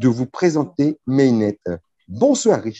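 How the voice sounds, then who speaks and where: The voice has a dark, mellow tone and very wide pitch swings, moving at a fairly slow pace in a dry, close sound with no echo. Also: man. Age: 50s. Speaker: webinar moderator. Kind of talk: sales pitch. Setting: video call.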